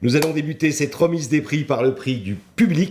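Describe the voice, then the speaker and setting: A man's somewhat breathy, fairly high-pitched voice at a moderate pace, with lively intonation. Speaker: event host. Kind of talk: live event presenting. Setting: live online broadcast.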